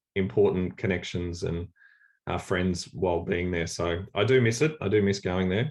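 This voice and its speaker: In an Australian accent, a man with a very deep, low voice speaks with ordinary pitch variation against a quiet background. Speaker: church leader. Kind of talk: workshop talk on video call. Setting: video call. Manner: halting, many fillers.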